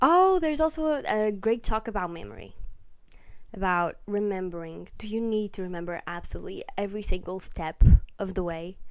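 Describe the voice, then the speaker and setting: At a fairly quick pace, a woman with a non-native accent speaks at a medium pitch, her intonation lively. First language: not English. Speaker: book vlogger. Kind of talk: casual chat. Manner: rambling, halting.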